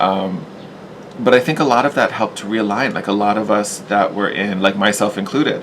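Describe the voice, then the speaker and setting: A man at a fairly quick pace, fairly low in pitch with ordinary pitch variation, against noticeable background noise. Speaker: tarot reader. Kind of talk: tarot reading.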